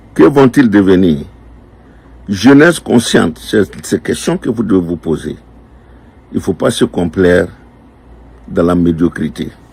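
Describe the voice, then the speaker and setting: The speech comes at a very slow pace with long, frequent pauses. Its intonation is lively. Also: man, very deep, low pitch for a man. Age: 60s. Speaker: political commentator. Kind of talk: political address to youth. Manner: animated.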